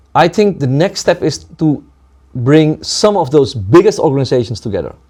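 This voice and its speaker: Moving through very wide pitch swings at a moderate pace, a man speaks in a fairly high pitch with a dark, mellow tone. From Suriname, then Netherlands. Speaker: community leader. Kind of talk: interview conversation. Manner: halting, with fillers.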